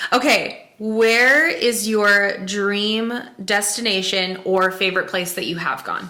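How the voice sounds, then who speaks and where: Audible room echo and noticeable background noise surround a woman speaking at a very slow pace. Her pitch is medium, with ordinary variation. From South Dakota, rural. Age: 20s. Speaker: podcast co-host. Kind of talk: casual chat.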